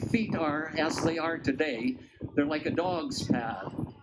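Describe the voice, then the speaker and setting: A man talks with a fairly high pitch. The room echo is audible. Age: 80s+. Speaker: rally speaker, retired personal trainer. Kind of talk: public speech at rally. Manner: halting, many fillers.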